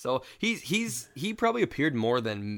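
On a very clean recording with a silent background, a man with an ordinary speaking voice talks at medium pitch with lively intonation. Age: 30s. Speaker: podcast host. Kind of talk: casual chat.

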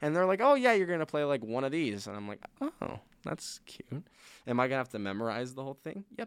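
A man's fairly high voice at a very fast pace, with very wide pitch swings and big swings in loudness. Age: 20s. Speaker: theater student. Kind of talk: casual chat.

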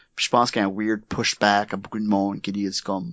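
This man's voice sits at a medium pitch, and his words come at a fairly quick pace. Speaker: improviser and coach. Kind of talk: casual interview. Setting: studio. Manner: code-switching with English.

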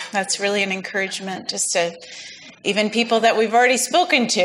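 A woman speaks over noticeable background noise. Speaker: church ministry leader. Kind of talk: prayer.

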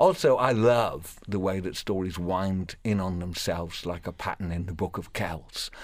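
A man speaks at a very deep, low pitch with fairly even intonation. His pace is moderate, with hardly any pauses. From Wales. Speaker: professional storyteller. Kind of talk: radio interview; storytelling performance.

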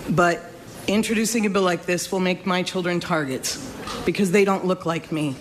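Noticeable background noise sits behind this woman's voice. Her pitch is fairly low, her intonation fairly even, and her pace moderate. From New York State. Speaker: parent. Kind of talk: public hearing testimony. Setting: legislative hearing room.

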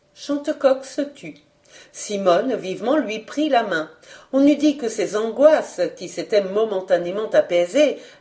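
Lively intonation in a natural reading voice

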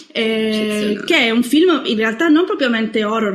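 Over noticeable background noise, a woman with a fairly high pitch talks at a fairly slow pace with ordinary pitch variation. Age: 20s. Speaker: horror film writer. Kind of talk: casual chat.

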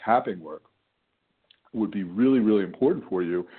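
Ordinary pitch variation marks a man's unremarkable speaking voice, set at a fairly low pitch. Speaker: weight loss coach. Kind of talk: live coaching Q&A call. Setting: phone call. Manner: casual, conversational, friendly.

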